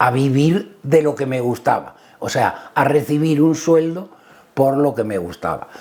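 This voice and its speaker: This man speaks at a fairly slow pace with ordinary pitch variation. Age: 60s. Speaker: motorsport team manager. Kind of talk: interview. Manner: hesitant, with fillers.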